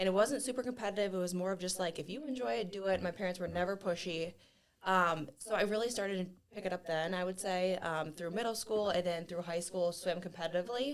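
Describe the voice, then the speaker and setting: A woman with a Midwestern US accent speaks at a very fast pace with ordinary pitch variation. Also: medium pitch for a woman. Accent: US Midwest. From northern Ohio, US. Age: 30s. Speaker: gym member and athlete. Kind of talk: podcast interview.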